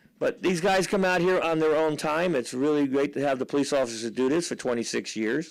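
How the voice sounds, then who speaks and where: In a very clean recording with a silent background, a man with a normal speaking voice talks at a fairly quick pace with hardly any pauses, his fairly high pitch showing ordinary variation and his loudness staying very even. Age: 60s. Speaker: drag racing announcer. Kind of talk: live commentary. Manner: casual, conversational.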